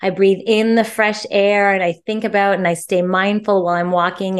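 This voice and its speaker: Animated and bubbly, a woman speaks at a medium pitch. The background is quiet. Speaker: author and positive psychology professional. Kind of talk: interview conversation. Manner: animated, bubbly.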